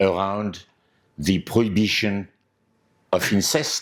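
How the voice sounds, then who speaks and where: A man speaks at a fairly slow pace in a French accent, his pitch fairly low. The recording is very clean, with a silent background. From France. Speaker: anthropologist lecturer. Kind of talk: lecture. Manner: hesitant, with filler words.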